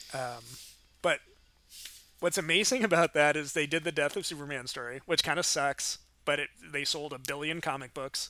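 In a very clean recording with a silent background, a man speaks at a moderate pace with long, frequent pauses. His bright, sharp tone sits at a fairly high pitch with ordinary pitch variation. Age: 30s. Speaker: podcast co-host. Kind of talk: casual chat.

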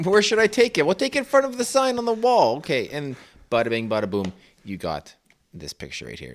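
The speaker is a man with a Canadian prairie accent. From Saskatchewan. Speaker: podcast panelist. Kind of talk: casual chat.

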